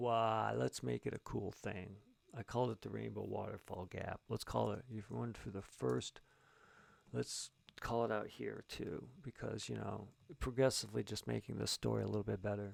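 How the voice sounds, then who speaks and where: With a dry, close sound and no echo, a man talks at a moderate pace. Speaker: writer and streamer. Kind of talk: live-streamed writing session, thinking aloud. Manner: halting, thinking aloud; mumbling.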